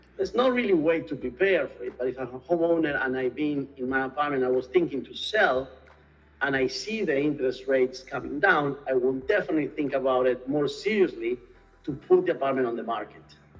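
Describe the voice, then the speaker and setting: With an Argentine accent, a man with a fairly high pitch speaks at a fairly quick pace with ordinary pitch variation over noticeable background noise. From Argentina, Buenos Aires. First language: Spanish. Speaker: real estate executive. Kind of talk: interview.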